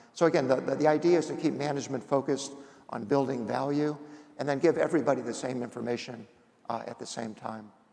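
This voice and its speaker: Talking at a very fast pace, a man with a fairly high pitch keeps his intonation fairly even while his loudness swings a lot. Room echo can be heard. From Indiana. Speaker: company founder and executive chairman. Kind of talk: on-stage interview.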